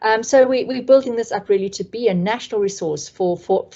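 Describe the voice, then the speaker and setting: In a South African accent, a woman speaks at a moderate pace with ordinary pitch variation. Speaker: community trainer. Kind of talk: online training presentation. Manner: hesitant, many fillers.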